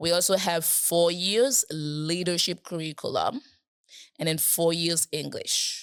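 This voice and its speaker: Speaking with a Haitian accent, a woman talks at a fairly slow pace in a fairly low pitch with ordinary pitch variation. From Haiti, Port-au-Prince. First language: Haitian Creole. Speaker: program staff, interview guest. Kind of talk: podcast interview. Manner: halting, with many fillers.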